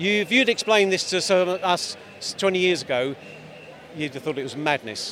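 A man with an English accent and a high pitch talks at a moderate pace with lively intonation and long, frequent pauses, over noticeable background noise. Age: 60s. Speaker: street interviewee at a protest. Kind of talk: street interview. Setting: outdoors at a demonstration.

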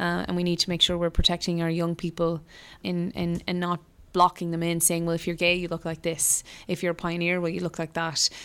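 On a very clean recording with a silent background, a woman with a western Irish accent speaks at a fairly quick pace, her fairly low pitch held in a monotone, flat intonation. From rural west of Ireland (Mayo/Galway border). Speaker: politician. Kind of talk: interview.

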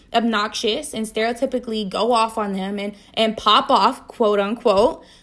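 A loud, animated woman's voice on a very clean recording with a silent background. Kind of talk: solo podcast monologue. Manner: animated, loud.

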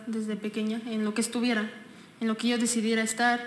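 A woman speaks at a moderate pace with fairly high pitch. Her intonation is monotone and flat, and there is noticeable background noise. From Mexico, Texcoco. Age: 20s. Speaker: political candidate. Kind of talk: casual interview.

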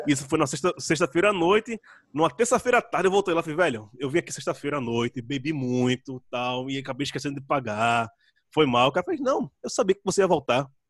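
Speaking at a very fast pace, a man with a Pernambuco accent uses lively intonation and a fairly high pitch. The background is quiet, and the sound is dry and close with no echo. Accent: Pernambuco accent, kept. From Brazil, Pernambuco (Recife area). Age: 30s. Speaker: writer, podcaster and musician. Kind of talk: casual interview chat. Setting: video call.

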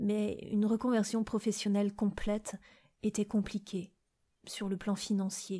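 Very cleanly recorded against a silent background, a woman speaks at a fairly slow pace in a dark, mellow, somewhat breathy tone with monotone, flat intonation. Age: 40s. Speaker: podcast host sharing personal experience. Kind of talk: personal testimony.

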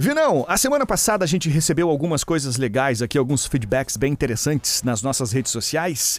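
With a normal speaking voice, a man talks at a fairly quick pace with lively intonation, very even loudness and hardly any pauses. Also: fairly high pitch for a man. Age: 30s. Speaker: DJ and radio host. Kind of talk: casual chat.

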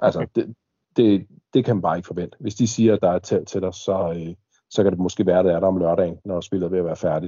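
A very fast, fairly evenly intoned delivery from a man with a very deep, low voice. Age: 30s. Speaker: airsoft milsim player. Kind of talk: casual chat. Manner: halting, many fillers.

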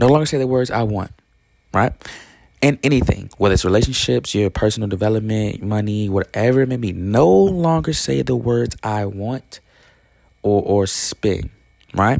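A man's fairly low-pitched voice at a moderate pace, animated in tone with lively intonation. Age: 20s. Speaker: podcast host. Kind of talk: motivational monologue.

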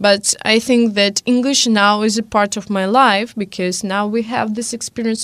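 A woman with an ordinary speaking voice, medium in pitch, at a fairly slow pace. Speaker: guest, language learner living abroad. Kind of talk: casual panel discussion. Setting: studio.

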